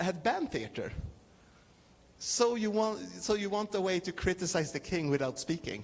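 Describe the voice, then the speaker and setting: A man with a non-native accent speaks slowly, though only fairly so, in a high pitch. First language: not English. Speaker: clown performer. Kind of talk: talk with audience Q&A. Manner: halting.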